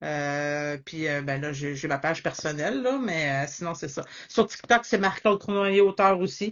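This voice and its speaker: A woman with a Quebec accent, very deep and low-pitched, her intonation lively and her pace fairly slow. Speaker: author. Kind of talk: interview. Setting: Instagram live.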